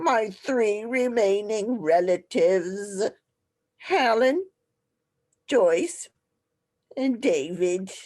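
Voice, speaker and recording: Using a put-on character voice at a medium pitch, a woman speaks at a very slow pace with long, frequent pauses and lively intonation. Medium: audio drama. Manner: imperious, scornful.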